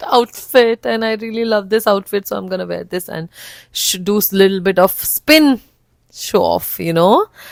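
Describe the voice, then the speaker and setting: A woman speaks at a moderate pace with medium pitch and an animated tone. The sound is dry and close with no echo. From Northeast India (Nagaland). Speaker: flight attendant and vlogger. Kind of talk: casual vlog. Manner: animated, mixing Hindi and English.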